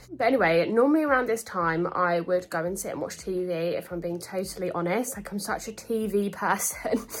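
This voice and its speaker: With a British accent, a woman speaks at a medium pitch and fairly quick pace, with ordinary pitch variation and hardly any pauses, over noticeable background noise. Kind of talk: casual talk to camera.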